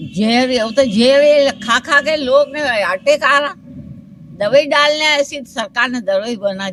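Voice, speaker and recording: A high-pitched woman's voice with ordinary pitch variation and big swings in loudness. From Ratlam district, Madhya Pradesh, India. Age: 80s+. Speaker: rural elderly villager. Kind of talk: interview answer. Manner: outspoken, plain-spoken.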